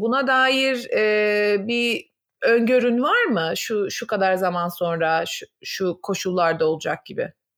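At a very slow pace, a woman with a fairly high pitch talks with lively intonation. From Turkey. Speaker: psychologist, podcast host. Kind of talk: casual interview.

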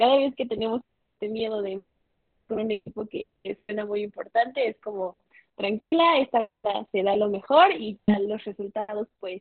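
A woman speaks at a fairly slow pace with long, frequent pauses. Her pitch is fairly high, with ordinary pitch variation. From Mexico. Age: 21. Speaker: law student and debater. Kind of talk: casual interview.

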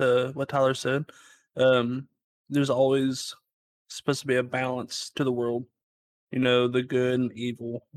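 Recorded very cleanly with a silent background and a dry, close sound with no echo, a man speaks at a moderate pace and medium pitch in a monotone, flat intonation. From Kentucky. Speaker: paranormal investigator. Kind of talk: casual chat.

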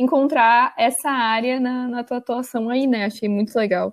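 In a very clean recording with a silent background, a woman speaks at a moderate pace in a high pitch with ordinary pitch variation. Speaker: podcast host. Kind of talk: casual chat.

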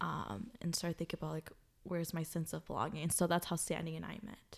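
A woman speaks in an unremarkable speaking voice. Her pitch is fairly low. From Minnesota, Twin Cities. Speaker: podcast co-host, student. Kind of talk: casual chat.

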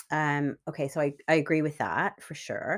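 Here a woman speaks with a very deep, low pitch at a moderate pace. The recording is very clean, with a silent background. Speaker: solo podcast host. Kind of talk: personal monologue podcast. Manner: hesitant, many ums and laughs; partly reading from notes.

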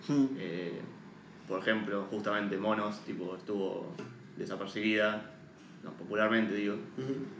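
Audible room echo and noticeable background noise accompany a man who speaks fairly slowly at a fairly low pitch with long, frequent pauses. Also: ordinary pitch variation. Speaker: podcast co-host, film commentator. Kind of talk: casual chat.

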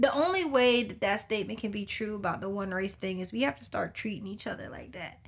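A woman with an American accent speaks very fast at medium pitch, somewhat breathy, with lively intonation, big swings in loudness and hardly any pauses. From US suburbs. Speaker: podcast co-host. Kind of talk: casual chat.

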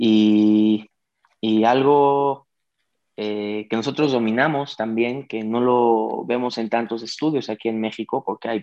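Against a quiet background, a man with medium pitch has an unremarkable speaking voice. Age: 20s. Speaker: digital media entrepreneur. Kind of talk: interview.

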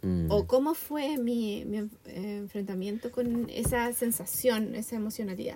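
A woman with a Chilean accent talks at a fairly high pitch with ordinary pitch variation, at a fairly slow pace with hardly any pauses. Noticeable background noise sits behind her. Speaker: podcast co-host. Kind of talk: casual chat.

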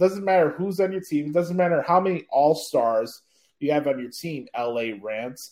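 An ordinary speaking voice, a man with an American accent talks at a moderate pace, fairly high in pitch and lively in intonation. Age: 20s. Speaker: podcast host. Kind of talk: casual chat. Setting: remote recording via satellite.

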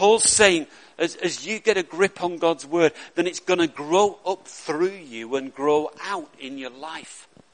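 High pitch and ordinary pitch variation in a man's voice. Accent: Lancashire. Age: 60s. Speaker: pastor. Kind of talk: sermon. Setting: church.

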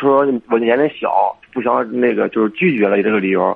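Using a plain, everyday voice, a man talks at a medium pitch, and his pitch varies in an ordinary way. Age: 20s. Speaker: caller seeking advice on a romantic rejection. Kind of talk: phone-in conversation. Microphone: too quiet at first.

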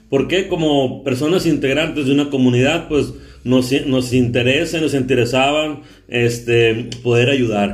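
Fairly slow, fairly even intonation, very even loudness, and audible room echo. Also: man, medium pitch for a man. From Sonora, Mexico. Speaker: podcast host. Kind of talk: casual interview chat.

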